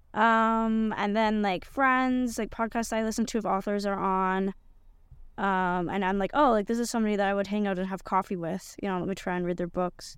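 Her speech, an ordinary speaking voice in a Canadian accent, sits at medium pitch for a woman with fairly even intonation, recorded very cleanly against a silent background. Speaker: podcast host. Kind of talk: casual chat.

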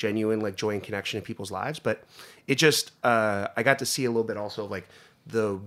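A man with an American accent talks at a fairly quick pace in a plain, everyday voice, pitched fairly low. The recording is very clean, with a silent background. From US, northeast Pennsylvania. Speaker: food company executive. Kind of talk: interview conversation.

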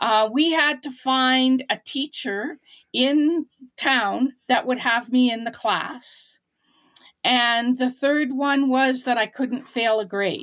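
In a Canadian accent, a woman talks at a very slow pace with a high pitch and fairly even intonation, on a very clean recording with a silent background. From rural British Columbia, Canada. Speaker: blind former student of a school for the blind. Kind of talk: interview, personal life story.

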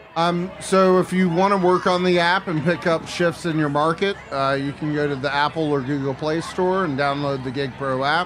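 A man with a fairly high pitch speaks at a moderate pace with hardly any pauses and fairly even intonation. Noticeable background noise is present. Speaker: chef and restaurant consultant. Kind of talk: casual chat. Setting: live festival stage with audience.

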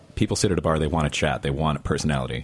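A man with a very deep, low voice talks at a very fast pace. Noticeable background noise sits behind him. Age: 30s. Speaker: actor. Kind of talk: casual chat.

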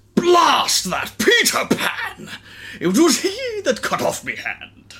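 In a put-on character voice with an extremely high pitch, the speaker delivers lines fairly slowly in a theatrical tone. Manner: theatrical, gruff.

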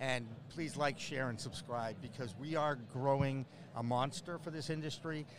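Pitched at medium height, a man speaks with an American accent and ordinary pitch variation. He keeps a moderate pace. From Boston area, US. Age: 60s. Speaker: media host and producer, former sportscaster. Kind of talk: casual interview chat. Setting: trade show floor booth. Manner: animated.

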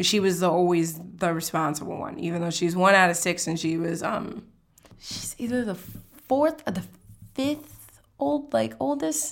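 With very wide pitch swings, a woman talks at a medium pitch. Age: 20s. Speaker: community organizer. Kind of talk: interview.

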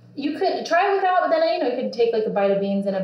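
A woman's lively intonation amid audible room echo and noticeable background noise. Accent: American. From Texas (Austin). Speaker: food business founder. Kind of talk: casual interview while cooking.

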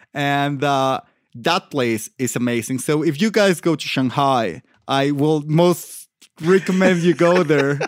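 At a fairly slow pace, a man with a Mexican accent talks in a fairly high pitch with ordinary pitch variation. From Mexico, Michoacan. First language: Spanish. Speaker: podcast co-host. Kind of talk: casual chat.

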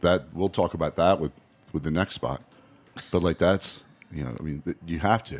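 A man speaks at a moderate pace in a very deep, low voice with vocal fry and ordinary pitch variation. He leaves long, frequent pauses. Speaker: bar owner. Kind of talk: casual interview chat.

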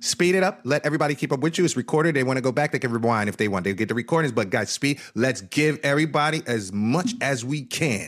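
With a New Jersey accent, a man talks at a very fast pace and medium pitch in an animated tone with lively intonation, on a very clean recording with a silent background. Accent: New Jersey American. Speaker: event organizer. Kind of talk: interview.

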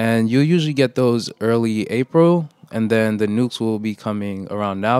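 An ordinary speaking voice, a man's with an American accent, holds a medium pitch and ordinary pitch variation at a moderate pace, sounding dry and close with no echo. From New York, Brooklyn. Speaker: urban beekeeper and program coordinator. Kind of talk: interview.

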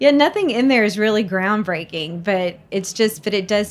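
Talking at a fairly quick pace, a woman with an American accent has an unremarkable speaking voice, fairly high in pitch, with lively intonation. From Mississippi, US South. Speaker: entrepreneur and mother sharing grief story. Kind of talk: interview conversation.

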